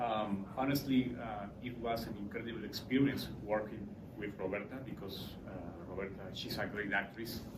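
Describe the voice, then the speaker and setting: Over noticeable background noise and audible room echo, a man with a Spanish accent speaks at a moderate pace with fairly even intonation. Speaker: film director. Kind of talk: panel Q&A. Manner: halting.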